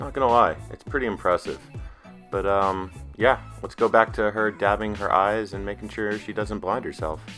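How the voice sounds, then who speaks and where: A moderate pace over music in the background. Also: man. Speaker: husband of the channel owner, narrating her makeup routine. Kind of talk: humorous improvised voiceover commentary. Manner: joking, teasing, casual.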